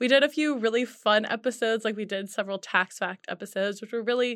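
Against a quiet background, a woman with an unremarkable speaking voice talks at a fairly high pitch with ordinary pitch variation. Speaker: multimedia editor and podcast producer. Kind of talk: casual interview.

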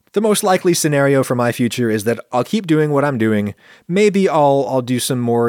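Over a silent background in a very clean recording, a normal speaking voice moves at a moderate pace with lively intonation. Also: man. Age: 40s. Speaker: food science YouTuber and podcast host. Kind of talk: casual monologue answering listener questions.

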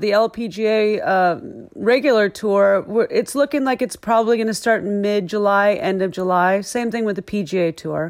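A woman speaks in a plain, everyday voice with an American accent. Her pitch is medium with ordinary variation, and her pace is moderate. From US Midwest (Iowa). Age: 50s. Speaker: golf professional. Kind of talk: interview. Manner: casual, with many fillers.

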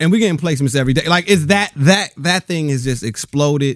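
Fairly quick, lively speech in an American accent, on a very clean recording with a silent background. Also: man. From Southern California. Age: 30s. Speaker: actor. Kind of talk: casual chat. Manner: halting.

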